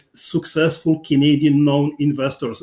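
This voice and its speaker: In a Polish accent, a man with a fairly high pitch and a dark, mellow tone speaks at a fairly slow pace in a flat monotone. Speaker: podcast host. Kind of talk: interview.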